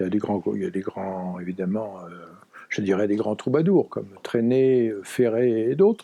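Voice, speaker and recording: A man with a medium pitch and a dark, mellow tone at a moderate pace. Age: 70s. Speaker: songwriter. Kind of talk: interview. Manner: hesitant, many fillers.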